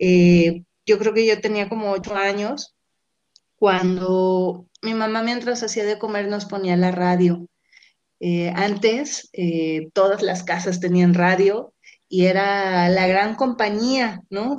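At a very slow pace, a woman talks with fairly even intonation. Her pitch is medium. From Mexico, Guadalajara and Colima. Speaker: graduate student and radio communicator. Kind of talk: interview.

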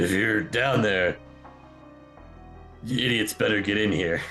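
Using a gruff put-on character voice at a fairly low pitch, a man speaks at a moderate pace over clear music in the background. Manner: shouting.

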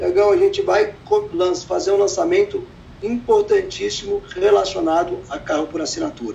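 A man's fairly quick speech full of very wide pitch swings. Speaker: entrepreneur in car services. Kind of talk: interview.

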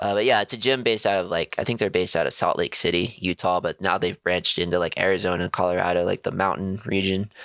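A man's very deep, low voice at a very fast pace, very even in loudness, with hardly any pauses. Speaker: sports podcast co-host. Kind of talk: casual banter. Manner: casual, profane, animated.

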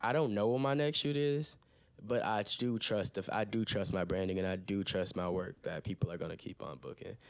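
An unremarkable speaking voice: a man with an American accent, fairly low in pitch, lively in intonation and fairly quick in pace, on a very clean recording with a silent background. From Toledo, Ohio. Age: 20s. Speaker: freelance photographer. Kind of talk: casual chat. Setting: home recording.

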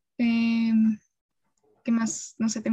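The pace of this woman's speech is moderate. Her voice sits fairly high in pitch. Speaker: communication student. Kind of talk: casual chat.

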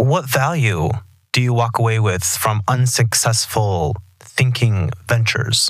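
A man with an American accent has an ordinary speaking voice at a medium pitch, speaking at a fairly slow pace with ordinary pitch variation and very even loudness. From Texas. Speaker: podcast host. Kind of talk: interview. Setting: studio.

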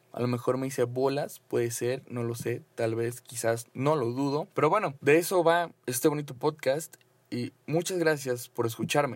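With hardly any pauses, a man of medium pitch and ordinary pitch variation talks at a moderate pace. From Mexico (Mexico City, then Cancún). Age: 20s. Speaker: podcaster and content creator. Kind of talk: casual solo monologue. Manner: hesitant, many fillers.

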